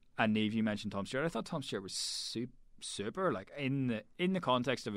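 Speaking very fast with lively intonation, a man with a Northern Irish accent comes through on a very clean recording with a silent background. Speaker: rugby journalist. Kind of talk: casual chat.

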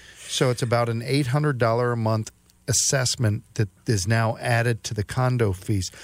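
This man has an unremarkable speaking voice, medium in pitch, with fairly even intonation at a moderate pace. The recording is very clean, with a silent background. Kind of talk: casual radio talk show chat. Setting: radio studio.

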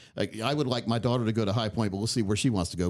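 A man speaks here. The recording is very clean, with a silent background. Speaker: radio host. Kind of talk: casual interview chat. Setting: studio. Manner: friendly, chatty.

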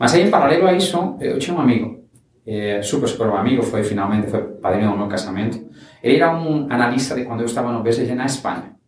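Lively in intonation, a man speaks at a very fast pace and a medium pitch, with audible room echo. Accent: Spanish. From Spain (Valencia, raised in Barcelona). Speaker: startup founder. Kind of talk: interview. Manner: halting, mixes Spanish and Portuguese.

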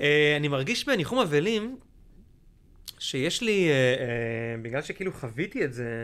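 Speech comes at a fairly slow pace. The pitch swings very widely. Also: man, fairly high pitch for a man. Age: 40s. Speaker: actor and corporate lecturer. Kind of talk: casual chat. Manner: animated.

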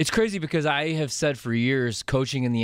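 A man talks at a fairly quick pace with ordinary pitch variation in a normal speaking voice. The recording is very clean, with a silent background. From Chicago area, US Midwest. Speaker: radio producer. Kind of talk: casual chat.

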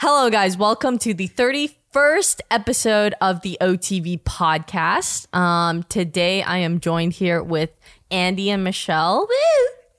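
A woman with an ordinary speaking voice, fairly slow pace, lively intonation and hardly any pauses, on a very clean recording with a silent background. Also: medium pitch for a woman. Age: 30s. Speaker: podcast host. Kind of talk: casual chat.

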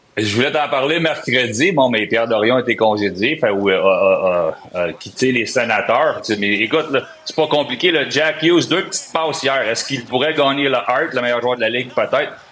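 A man at a medium pitch and moderate pace, lively intonation, noticeable background noise behind him. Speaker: hockey analyst. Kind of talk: sports talk.

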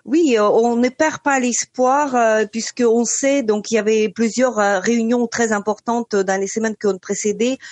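A woman at a very slow pace, fairly high in pitch, with fairly even intonation and a dry, close sound with no echo. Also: very even loudness. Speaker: journalist. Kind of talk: radio interview.

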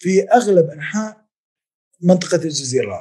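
A man's dark, mellow voice moves at a moderate speed, its pitch rising and falling in an ordinary way. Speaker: historian, professor. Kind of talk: interview.

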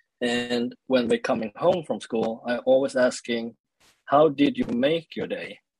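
In a Swedish accent, a man speaks with a dry, close sound and no echo. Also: fairly slow pace. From Sweden (born in South Korea). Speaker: leadership coach and speaker. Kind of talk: interview conversation. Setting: remote call. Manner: halting.

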